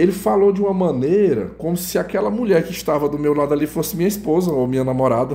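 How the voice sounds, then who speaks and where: A man talks very fast with hardly any pauses and lively intonation. His voice is fairly high in pitch, with a dark, mellow tone. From northern Brazil. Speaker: YouTuber telling personal testimony. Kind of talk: personal storytelling monologue. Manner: casual, conversational with self-corrections.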